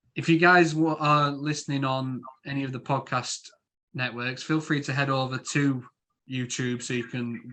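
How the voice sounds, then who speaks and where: With a Yorkshire accent, a man talks at a moderate pace. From Yorkshire, northern England. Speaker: podcast host. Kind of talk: casual chat.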